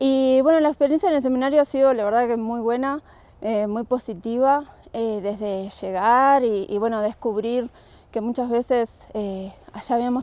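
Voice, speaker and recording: With a Uruguayan accent, a woman speaks at a high pitch in a dark, mellow tone, the sound dry with no echo. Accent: Rioplatense Spanish (Uruguayan). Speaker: environmental program worker, seminar participant. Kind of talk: interview testimony. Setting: conference in Canada. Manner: hesitant, many fillers and repetitions. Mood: positive, reflective. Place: open country.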